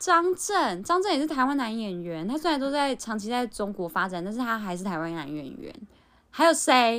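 Over a silent background in a very clean recording, a woman with a Taiwanese accent talks at a fairly quick pace and fairly high pitch, with very wide pitch swings and big swings in loudness. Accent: Taiwanese Mandarin. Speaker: podcast co-host. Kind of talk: casual chat.

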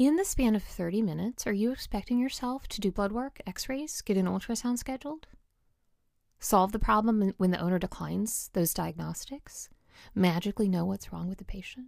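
A woman speaking at a fairly quick pace, on a very clean recording with a silent background. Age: 40s. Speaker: veterinarian and coach podcast host. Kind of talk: solo podcast monologue.

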